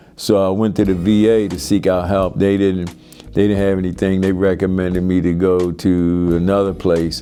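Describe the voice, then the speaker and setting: A man with a Baltimore accent speaks at a moderate pace in a very deep, low pitch with fairly even intonation. Music plays in the background, and the room echo is audible. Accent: Baltimore American. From US, Baltimore. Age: 60s. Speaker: military veteran in recovery. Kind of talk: testimony. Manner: halting.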